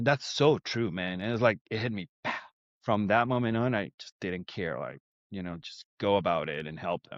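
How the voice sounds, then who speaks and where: A man with a Spanish accent speaks at a fairly low pitch, his intonation lively and his loudness swinging widely. The sound is dry and close with no echo, over a quiet background. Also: moderate pace. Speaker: insurance agency owner. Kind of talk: casual chat.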